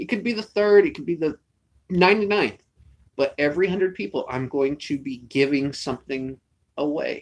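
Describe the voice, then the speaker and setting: Here a man talks at a moderate pace. His voice sits at a fairly high pitch. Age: 30s. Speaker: YouTube channel host. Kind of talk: casual chat.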